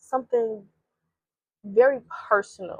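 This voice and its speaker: An animated woman speaks in a dry, close recording with no echo. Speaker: faith vlogger. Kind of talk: devotional vlog talk.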